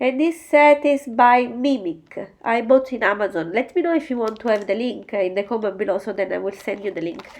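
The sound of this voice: Her fairly high, nasal voice has a slightly mellow tone, and this woman talks at a fairly quick pace with few pauses and ordinary pitch variation.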